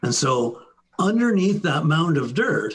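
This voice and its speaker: A somewhat breathy man with lively intonation. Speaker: sales engineer presenting products. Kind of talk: webinar product presentation. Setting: online webinar.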